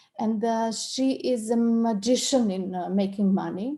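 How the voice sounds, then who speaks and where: A woman's somewhat breathy, dark and mellow voice in a Serbian accent, with fairly even intonation. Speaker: coach and trainer. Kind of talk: online interview discussion. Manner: halting, many repetitions.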